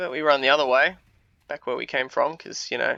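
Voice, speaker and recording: A man speaks with an Australian accent. He talks at a fairly quick pace. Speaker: gaming video creator. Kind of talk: gameplay commentary. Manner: hesitant, many fillers.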